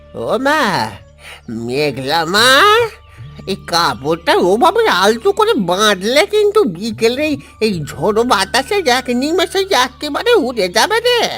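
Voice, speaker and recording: A man puts on a cartoonish character voice at an extremely high pitch. He talks at a fairly slow pace over faint music in the background. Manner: warm, fatherly.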